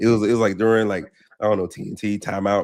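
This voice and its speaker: This man speaks at a very fast pace with a fairly low pitch. His intonation is monotone and flat. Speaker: military veteran. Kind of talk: interview. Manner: halting.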